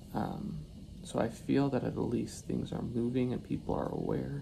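A man speaks with a very deep, low pitch at a fairly slow pace. Noticeable background noise runs beneath his voice. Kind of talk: casual vlog chat. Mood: worried but reflective. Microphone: phone near.

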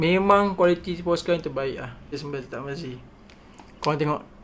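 A man talks at a moderate pace. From Malaysia. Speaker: art content creator. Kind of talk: casual unboxing vlog. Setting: at home, sunlight from the side. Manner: animated. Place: home room. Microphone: phone near.

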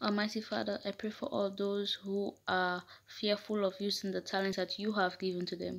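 A woman at a medium pitch with fairly even intonation, a moderate pace, and hardly any pauses. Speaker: prayer leader. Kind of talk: fervent prayer. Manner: impassioned, pleading; repetitive, rhythmic invocations. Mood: earnest, fervent. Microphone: phone near.

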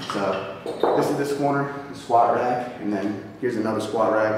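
A man talks at a fairly quick pace. Strong room echo and light background noise surround his voice. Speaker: fitness vlogger. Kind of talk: casual vlog chat. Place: gym.

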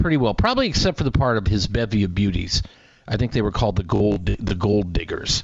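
A man with a plain, everyday voice talks at a fairly quick pace and a fairly low pitch, with ordinary pitch variation, in a dry sound with no echo over a quiet background. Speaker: radio morning show host. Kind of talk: radio host chat. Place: studio.

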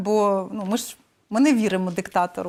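Using a plain, everyday voice, a woman speaks at a moderate pace with a fairly high pitch. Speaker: news interviewer. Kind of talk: news interview.

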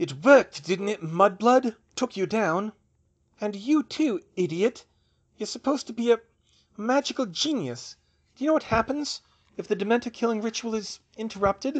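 Delivered at a moderate pace, a put-on character voice comes through a dry, close sound with no echo, a quiet background and some hissing. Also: man, high pitch for a man. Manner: hissing, vengeful.

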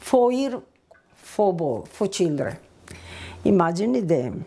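At a fairly slow pace, a woman talks with a strong Italian accent. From northern Italy. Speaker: immigrant recounting her life story. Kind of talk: personal testimony, oral history. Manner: halting, with broken grammar. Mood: warm, reflective. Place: kitchen. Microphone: lapel.

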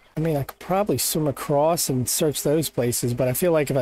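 The man's voice is fairly high, with a dark, mellow tone. He moves at a fairly quick pace, varying his pitch in an ordinary way. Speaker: gaming YouTuber. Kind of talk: gameplay commentary. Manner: casual, thinking aloud.

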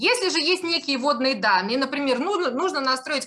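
Raised and projected, a woman's high, bright, sharp voice moves at a fairly quick pace with very wide pitch swings. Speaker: online marketing course instructor. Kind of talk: live webinar presentation with sales pitch. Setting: video call. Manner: animated.

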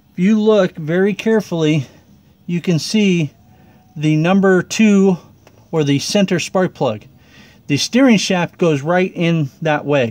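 Pausing long and often, a man speaks at a fairly slow pace with very even loudness and ordinary pitch variation. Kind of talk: tutorial. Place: garage. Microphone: phone near.

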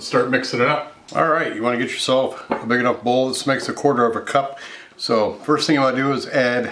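A man at a very fast pace in a monotone, flat intonation, over noticeable background noise. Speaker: cooking show host. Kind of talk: tutorial. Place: kitchen.

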